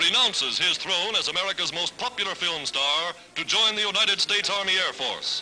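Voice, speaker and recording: Speaking at a high pitch and a moderate pace with hardly any pauses, a man sounds upbeat, his pitch varying in an ordinary way, with music playing in the background. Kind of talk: newsreel narration. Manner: upbeat, patriotic.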